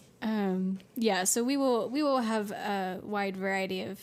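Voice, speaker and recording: A soft-spoken woman talks at a fairly slow pace. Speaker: podcast co-host. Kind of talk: casual chat.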